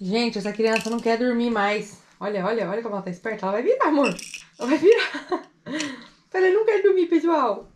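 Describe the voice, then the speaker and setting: Over light background noise, a woman with a high, upbeat voice speaks at a fairly quick pace with very wide pitch swings and long, frequent pauses. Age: 20s. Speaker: mother and family vlogger; family vlogger. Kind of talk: casual vlog talk to camera. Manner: chatty, upbeat. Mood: cheerful, playful. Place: home room. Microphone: phone near.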